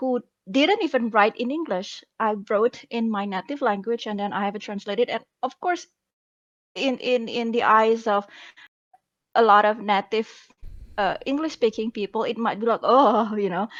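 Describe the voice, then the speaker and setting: Using a non-native accent, a woman with a fairly high pitch speaks at a moderate pace with ordinary pitch variation and long, frequent pauses, in a dry, close sound with no echo. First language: not English. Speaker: web novel author. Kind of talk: panel discussion. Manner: halting.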